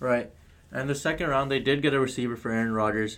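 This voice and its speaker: Speaking very fast with fairly even intonation, a man talks in an American accent. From Connecticut. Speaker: sports podcast co-host. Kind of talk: casual sports discussion. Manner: hesitant, many fillers.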